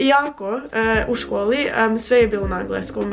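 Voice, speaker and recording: With music in the background, a woman speaks at a fairly slow pace, her fairly high pitch showing ordinary variation. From United States. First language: English (speaking Croatian). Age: 20s. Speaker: language-learning vlogger. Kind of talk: casual vlog talk. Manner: halting with filler sounds.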